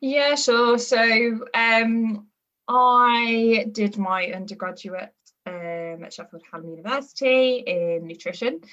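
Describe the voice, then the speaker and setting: A woman with a Birmingham accent speaks at a very slow pace in a fairly high pitch. Her pitch variation is ordinary, while her loudness swings widely. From England, Birmingham area. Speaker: performance nutritionist. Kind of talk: podcast interview. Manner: hesitant, many fillers.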